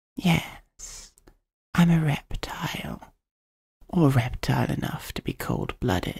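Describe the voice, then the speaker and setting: Whispered speech moves at a very slow pace, broken by long, frequent pauses. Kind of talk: ASMR roleplay, scripted fantasy monologue. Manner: hushed, soft-spoken, intimate whisper-like storytelling; wry, playful, slightly exasperated character voice.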